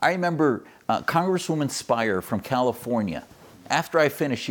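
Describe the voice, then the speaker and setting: An unremarkable speaking voice from a man with an American accent, with lively intonation at a fairly quick pace, in a very clean recording with a silent background. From US Midwest, Wisconsin. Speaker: physician and activist. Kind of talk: interview.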